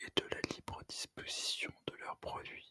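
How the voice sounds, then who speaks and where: Someone is whispering at a very slow pace. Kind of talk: whispered ASMR reading of an essay. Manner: whispered.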